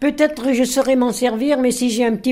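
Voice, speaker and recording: A woman with a dark, mellow tone, fairly high pitch, fairly even intonation and a fairly quick pace. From France, Bresse (Viriat, Ain). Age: 80s+. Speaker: centenarian, army officer's widow. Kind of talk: interview. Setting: home kitchen.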